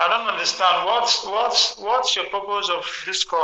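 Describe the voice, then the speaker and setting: There is audible room echo around a man whose pitch is high and whose pitch variation is ordinary. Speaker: Jehovah's Witness. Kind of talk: debate by phone.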